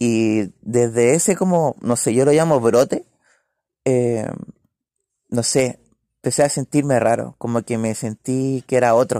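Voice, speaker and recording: A man with a Chilean accent speaks at a medium pitch in a dark, mellow tone, at a fairly slow pace with long, frequent pauses and ordinary pitch variation. The sound is dry and close with no echo, in a very clean recording with a silent background. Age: 20s. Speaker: podcast co-host. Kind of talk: casual chat. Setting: indoor home gathering at night.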